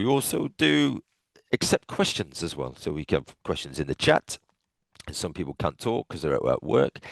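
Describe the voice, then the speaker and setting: A man with an English accent at a moderate pace, in a dry, close sound with no echo. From England. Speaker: futures trading coach. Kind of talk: webinar presentation.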